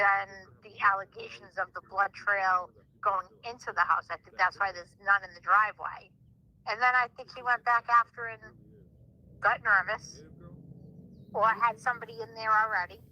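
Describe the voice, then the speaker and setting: This speaker has a Rhode Island accent and a bright, sharp tone, heard dry and close with no echo. The pace is moderate with long, frequent pauses, the intonation fairly even and the loudness swinging widely. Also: woman, medium pitch for a woman. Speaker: caller. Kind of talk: call-in theory discussion. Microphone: echo on phone line.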